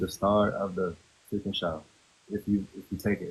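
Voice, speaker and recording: A soft-spoken man talks at a fairly low pitch. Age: 30s. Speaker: reality TV contestant. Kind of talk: casual chat. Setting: TikTok live stream. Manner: laid back.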